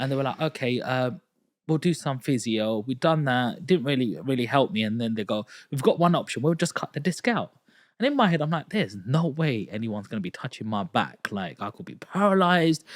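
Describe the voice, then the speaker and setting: This man talks at a fairly quick pace with lively intonation, recorded very cleanly against a silent background. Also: medium pitch for a man. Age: 30s. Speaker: podcast host. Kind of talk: casual interview chat. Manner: animated storytelling.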